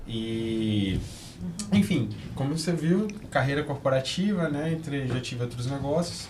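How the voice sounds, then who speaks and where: Audible room echo surrounds a man whose fairly high voice, with lively intonation, moves at a fairly slow pace with long, frequent pauses. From Brasília, Brazil. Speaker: entrepreneur and business mentor. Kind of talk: podcast interview.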